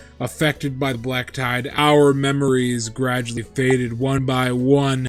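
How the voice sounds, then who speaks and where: In a put-on character voice, a man speaks at a moderate pace and medium pitch with monotone, flat intonation while music plays in the background. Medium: game stream. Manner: formal, long-winded exposition.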